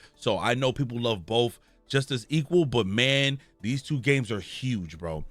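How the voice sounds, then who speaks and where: The voice moves at a moderate pace. Music plays in the background. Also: man, medium pitch for a man. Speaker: gaming news youtuber. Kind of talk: casual commentary reading an article. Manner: halting.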